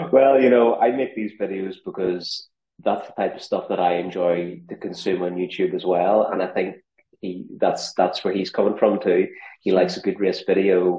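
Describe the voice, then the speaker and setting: A man with a Northern Irish accent at a moderate pace. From Northern Ireland. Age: 40s. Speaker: ultrarunner and content creator. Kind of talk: podcast interview.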